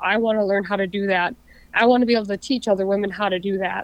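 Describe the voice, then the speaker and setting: A woman with an Upper Midwest accent talks at a fairly quick pace, her intonation fairly even. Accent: Upper Midwest American. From southern Minnesota. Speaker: outdoorswoman, hunter and angler. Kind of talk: casual interview chat.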